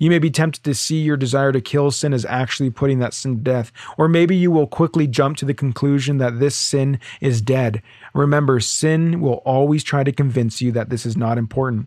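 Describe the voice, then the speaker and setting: A man with a Canadian accent speaks at a fairly quick pace, his fairly high pitch held in fairly even intonation. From Ontario, Canada. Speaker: podcast host. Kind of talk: religious teaching podcast monologue. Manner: halting, many fillers.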